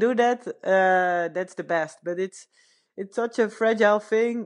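Over a quiet background, a woman speaks with a Dutch accent at a fairly slow pace. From Netherlands. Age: 30s. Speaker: retired pro cyclist. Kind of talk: casual interview. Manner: halting, many fillers.

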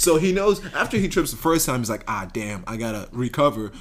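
Through noticeable background noise, a man speaks fairly quickly at a fairly high pitch with very wide pitch swings. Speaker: college podcast host. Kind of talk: casual chat. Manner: animated.

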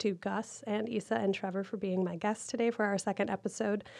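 Against a quiet background, a woman speaks at medium pitch and a fairly quick pace. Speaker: podcast host. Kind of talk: interview, hosting a podcast.

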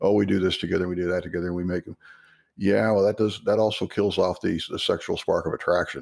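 On a very clean recording with a silent background, a man speaks at a very fast pace with an American accent. His fairly low voice keeps fairly even intonation. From Texas. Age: 50s. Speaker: author. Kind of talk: casual interview chat.

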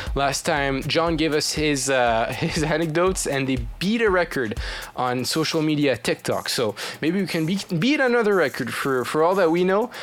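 Through noticeable background noise, a man speaks at a moderate pace with a fairly high pitch and lively intonation. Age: 20s. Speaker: student radio show host. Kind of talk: casual chat. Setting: studio. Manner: halting.

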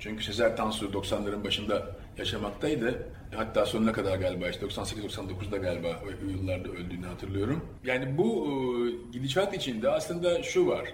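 Noticeable background noise and audible room echo. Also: man, moderate pace. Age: 50s. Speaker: sociologist and curator. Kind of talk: public talk.

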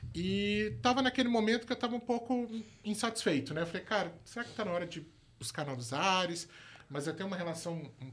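Very wide pitch swings mark this man's speech, delivered at a very fast pace. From Brazil, moved through all regions, born in Rio. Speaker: crypto product manager. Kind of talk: casual chat.

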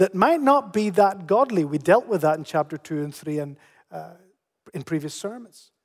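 Lively in intonation, a man with a Northern Irish accent speaks at a high pitch. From Canary Islands, Spain, then Northern Ireland from 13. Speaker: pastor. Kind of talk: sermon.

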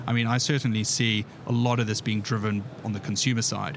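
Here a man talks at a fairly quick pace in a medium pitch. Noticeable background noise runs under his voice. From South Africa. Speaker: payments company executive. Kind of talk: podcast interview. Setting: conference podcast booth on event floor.

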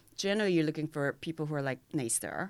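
Over a silent background in a very clean recording, a woman with a Korean accent speaks at a very fast pace in a fairly low pitch. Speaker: fintech mentor and angel investor. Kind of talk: interview.

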